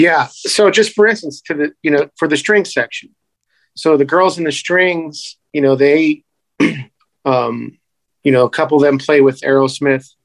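With an American accent and an unremarkable speaking voice, a man talks at a moderate pace with a fairly high pitch and ordinary pitch variation. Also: dry, close sound with no echo. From US Midwest, Northeast Ohio. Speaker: trumpeter and bandleader. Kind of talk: casual interview.

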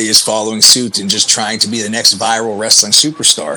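A man at medium pitch with an American accent, talking at a very fast pace amid noticeable background noise. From Pennsylvania, US. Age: 30s. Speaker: professional wrestler. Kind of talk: casual interview.

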